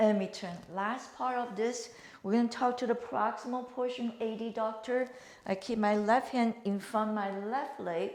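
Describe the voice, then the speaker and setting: A woman in a normal speaking voice, fairly high in pitch, with fairly even intonation at a moderate pace. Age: 60s. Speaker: fitness instructor. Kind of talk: exercise tutorial. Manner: calm, instructive with breathing cues.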